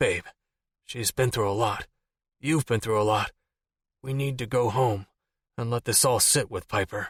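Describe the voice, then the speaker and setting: A man growls in a put-on character voice at medium pitch, with fairly even intonation and a moderate pace broken by long, frequent pauses. The recording is very clean with a silent background and a dry, close sound with no echo. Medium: read story. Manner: forceful.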